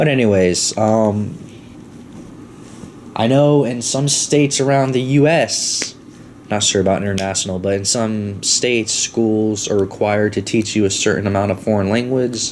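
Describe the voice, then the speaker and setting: Against noticeable background noise, the speaker has an American accent and ordinary pitch variation. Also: man. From Florida. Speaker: podcast host. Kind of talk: casual monologue storytelling. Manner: fast.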